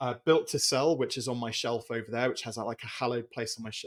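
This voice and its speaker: Very fast and at a medium pitch, a man talks with a British accent on a very clean recording with a silent background. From Britain. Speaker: business coach and author. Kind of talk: podcast interview.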